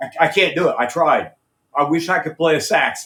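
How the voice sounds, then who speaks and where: With an American accent, a man talks at a high pitch and moderate pace, with ordinary pitch variation. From USA. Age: 60s. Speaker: rock singer and musician. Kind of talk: interview.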